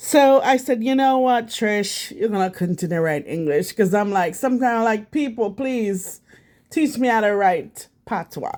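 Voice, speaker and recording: On a very clean recording with a silent background, a woman speaks in a Jamaican accent with a fairly high pitch and lively intonation. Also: moderate pace. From Jamaica, St Thomas parish. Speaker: vlogger. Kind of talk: casual vlog talk. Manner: halting, many fillers.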